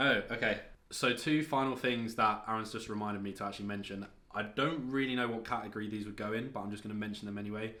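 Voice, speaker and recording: The speech comes at a very fast pace in a bright, sharp tone, with audible room echo. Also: man. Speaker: fitness vlogger. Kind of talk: casual vlog talk.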